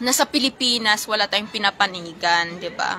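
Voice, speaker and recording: Taking a fairly slow pace, this woman's pitch moves in an ordinary way. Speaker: live streamer and karaoke contest judge. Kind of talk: casual livestream chat. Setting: livestream.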